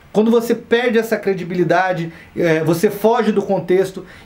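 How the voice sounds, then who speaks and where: A high-pitched man at a moderate pace, with noticeable background noise and audible room echo. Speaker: stand-up comedian and comedy teacher. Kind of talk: online course lecture. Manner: casual, conversational.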